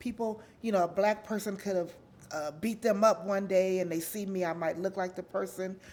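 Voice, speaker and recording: Medium pitch from a woman, varying in an ordinary way. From Los Angeles, California (Watts). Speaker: interviewee sharing life story. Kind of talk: interview, personal life story. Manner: loud; giggly, laughs a lot.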